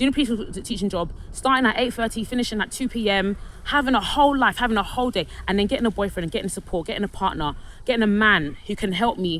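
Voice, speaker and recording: A woman speaks with a London accent. She goes at a very fast pace. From London, England. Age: 30s. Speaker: vlogger telling personal story. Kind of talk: personal testimony monologue. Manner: halting, many false starts and repetitions.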